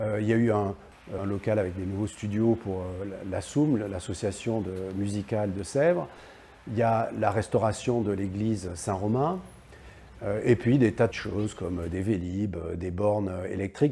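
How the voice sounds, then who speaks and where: This man talks at a moderate pace in a fairly low, somewhat breathy voice with a dark, mellow tone. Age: 60s. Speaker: local politician. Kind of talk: political address to camera. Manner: hesitant, many filler sounds.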